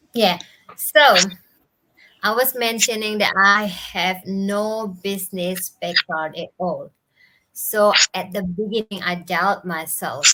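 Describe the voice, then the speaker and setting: A woman with an Indonesian accent speaks very slowly at medium pitch, her tone bright and sharp and her intonation fairly even. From Bali, Indonesia. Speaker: digital entrepreneur. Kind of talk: live interview. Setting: live video stream. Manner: halting.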